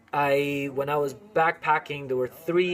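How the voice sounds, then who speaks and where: Music runs in the background. A man with a fairly high pitch talks at a fairly slow pace. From Venezuela. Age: 20s. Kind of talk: casual talk to camera.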